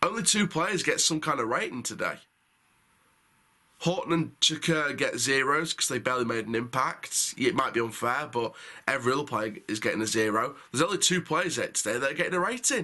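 Over a quiet background, a man talks at a fairly quick pace in a bright, sharp tone with lively intonation. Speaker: football fan reviewer. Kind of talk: match review commentary. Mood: frustrated, critical.

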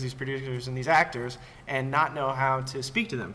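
With an American accent, a man talks at a moderate pace and a fairly high pitch. There is audible room echo. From Los Angeles. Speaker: performance capture supervisor. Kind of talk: panel discussion.

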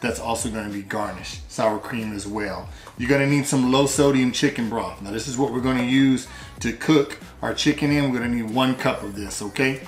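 Faint music sits in the background, with audible room echo. A man talks at a fairly quick pace with fairly even intonation. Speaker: home cooking video host. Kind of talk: cooking tutorial. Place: kitchen.

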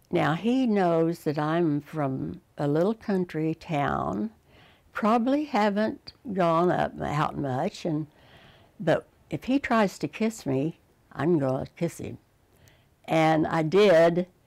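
Against a quiet background, the speech moves at a very slow pace. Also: woman, fairly low pitch for a woman, lively intonation. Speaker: interviewee. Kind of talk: interview answer, personal story. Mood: fond, amused reminiscing. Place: home room.

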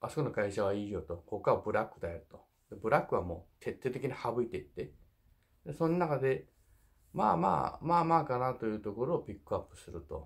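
Speaking at a fairly quick pace over a quiet background, a man uses vocal fry, very wide pitch swings and big swings in loudness. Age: 50s. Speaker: truck driver and YouTuber. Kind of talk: casual monologue advice video. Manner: jokey, rambling, animated. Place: home room. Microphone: phone near.

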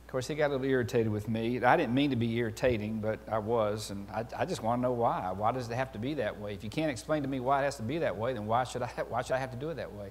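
Speaking at a very fast pace, a man keeps ordinary pitch variation. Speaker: preacher. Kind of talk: sermon. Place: church.

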